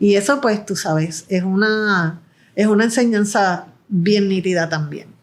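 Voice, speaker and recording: Speaking at a fairly slow pace, a woman has medium pitch and ordinary pitch variation. The recording is very clean, with a silent background. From Puerto Rico. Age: 60s. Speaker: film producer and director. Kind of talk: interview conversation. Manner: halting, with repetitions.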